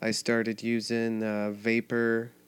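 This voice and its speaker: A man at a medium pitch speaks in an American accent with monotone, flat intonation on a very clean recording with a silent background. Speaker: podcast host. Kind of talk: casual monologue.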